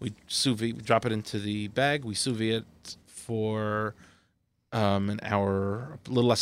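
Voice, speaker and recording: A man at a moderate pace with fairly even intonation on a very clean recording with a silent background. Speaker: kosher duck producer. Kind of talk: casual chat.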